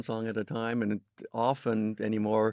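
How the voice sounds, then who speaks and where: With a dry, close sound and no echo, a man talks at medium pitch and a moderate pace in an unremarkable speaking voice. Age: 60s. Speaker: music historian. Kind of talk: interview.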